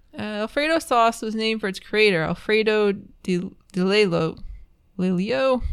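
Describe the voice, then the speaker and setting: A woman's normal speaking voice with an American accent, fairly high in pitch, at a moderate pace, with lively intonation. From New York. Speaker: food podcast co-host. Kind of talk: casual chat. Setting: home recording room.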